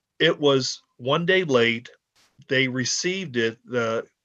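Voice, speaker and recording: This man talks at a medium pitch. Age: 60s. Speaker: taxpayer appealing a tax decision. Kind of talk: public testimony at a hearing. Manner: halting, many false starts.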